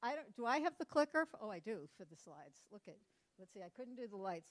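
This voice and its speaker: A woman with an American accent talks at a very fast pace. Her pitch swings are very wide, her loudness swings big, and the sound is dry and close with no echo. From Massachusetts, Cape Cod. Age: 60s. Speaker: conference speaker. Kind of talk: conference talk.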